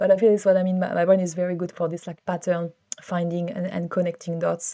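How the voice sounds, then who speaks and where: A woman with a French accent talks at a very fast pace in a dark, mellow tone, her pitch fairly low, against a quiet background. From France. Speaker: vlogger. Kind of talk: personal vlog monologue. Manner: hesitant, many fillers and repeats.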